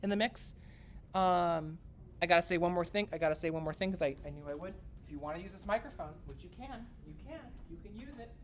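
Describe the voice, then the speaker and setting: Speaking at a very fast pace, a woman with a fairly low pitch uses lively intonation and vocal fry, her loudness swinging widely. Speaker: music lecturer. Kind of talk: lecture.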